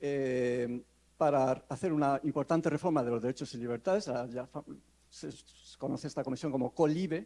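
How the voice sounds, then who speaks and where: A man at a moderate pace, fairly high in pitch, with a dark, mellow tone. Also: ordinary pitch variation. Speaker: law professor. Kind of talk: conference talk. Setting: conference panel. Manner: halting.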